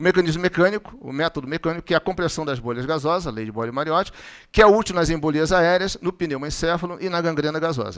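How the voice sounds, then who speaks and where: Ordinary pitch variation runs through a man's very fast speech. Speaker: physician giving a medical talk. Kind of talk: lecture.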